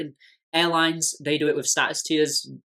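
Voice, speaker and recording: Someone with an English accent talks at a very fast pace. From England. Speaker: tech business commentator. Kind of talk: video essay explainer. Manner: conversational with frequent restarts.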